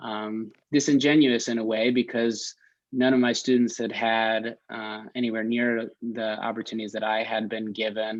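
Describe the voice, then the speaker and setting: A man with a New York accent, medium pitch and monotone, flat intonation over a quiet background. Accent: American, New York area. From New York suburbs (Westchester County). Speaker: nonprofit founder, former teacher. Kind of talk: panel webinar talk. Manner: halting.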